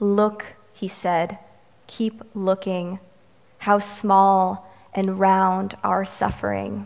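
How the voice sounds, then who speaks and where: Her pitch medium, a woman talks at a very slow pace. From Romanian-American, US. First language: Romanian. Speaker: poet. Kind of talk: poetry reading, performed poem. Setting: stage with audience, live reading. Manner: light and humorous in banter.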